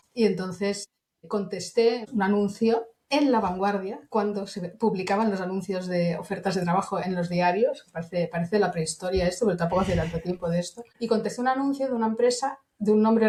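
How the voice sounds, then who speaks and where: An unremarkable speaking voice from a woman, medium in pitch, with ordinary pitch variation and a fairly quick pace. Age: 60s. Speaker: internal communications professional. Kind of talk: interview. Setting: podcast.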